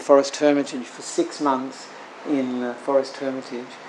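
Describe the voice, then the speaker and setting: A man with an Australian accent speaks at a moderate pace, with a fairly high pitch and fairly even intonation. Audible room echo and noticeable background noise are present. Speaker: Buddhist monk. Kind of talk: sermon. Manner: halting, many fillers.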